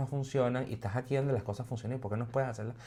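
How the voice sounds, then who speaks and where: Captured in a very clean recording with a silent background, a man talks at medium pitch. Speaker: podcast co-host. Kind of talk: casual debate discussion.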